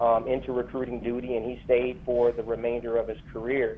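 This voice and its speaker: Over noticeable background noise, a man with an American accent and a medium pitch speaks at a moderate pace. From Flint, Michigan. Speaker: military veteran, conference founder. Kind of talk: interview.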